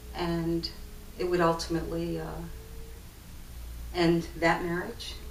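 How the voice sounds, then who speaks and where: A woman speaks at a fairly slow pace with long, frequent pauses, in a room with audible echo and noticeable background noise. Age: 60s. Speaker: testimony speaker. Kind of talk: testimony. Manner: halting.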